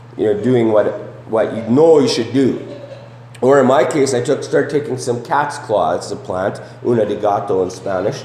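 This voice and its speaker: A man speaks at a moderate pace with a medium pitch and ordinary pitch variation. Audible room echo and noticeable background noise are present. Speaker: preacher. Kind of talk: sermon. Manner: conversational, many fillers and repetitions.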